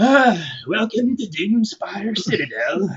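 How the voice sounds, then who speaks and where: The put-on character voice is croaky and fairly high-pitched, delivered at a fairly slow pace. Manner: forced politeness.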